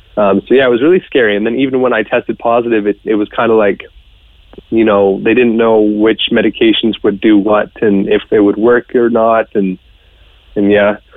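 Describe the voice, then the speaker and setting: This man has a fairly low pitch and a monotone, flat intonation. His pace is moderate. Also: very even loudness. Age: 20s. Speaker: COVID survivor, student. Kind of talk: interview.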